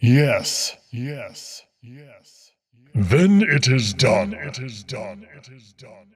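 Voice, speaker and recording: Putting on a character voice at medium pitch, a man speaks at a very slow pace. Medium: fan dub. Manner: repetitive, matter-of-fact.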